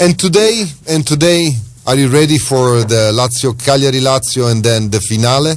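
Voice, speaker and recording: A man's medium-pitched voice at a moderate pace, lively intonation and very even loudness, with music in the background. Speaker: radio host. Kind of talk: radio phone-in chat.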